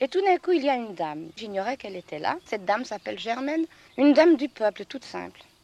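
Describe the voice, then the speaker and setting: The speech runs at a very fast pace with very wide pitch swings and big swings in loudness. The sound is dry and close, with no echo. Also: woman, fairly high pitch for a woman. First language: regional patois (speaking French). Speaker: farmer. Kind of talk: interview testimony. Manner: hesitant, many fillers.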